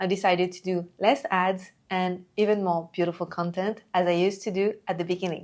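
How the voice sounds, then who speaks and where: A woman with a French accent at a moderate pace, on a very clean recording with a silent background. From France. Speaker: entrepreneur and coach. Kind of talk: talking-head video monologue.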